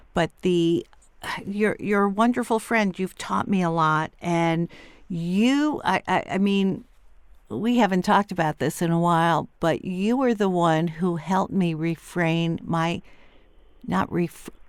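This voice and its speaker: A woman with a normal speaking voice and an American accent, fairly low pitch, ordinary pitch variation, fairly slow pace and very even loudness, on a very clean recording with a silent background. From New York City, Upper East Side. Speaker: podcast host. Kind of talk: casual interview chat.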